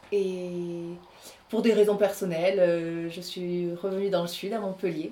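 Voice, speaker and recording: Fairly even intonation at a moderate pace. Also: woman. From southern France, Aveyron (Rodez). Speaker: actress and voice artist. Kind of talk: interview.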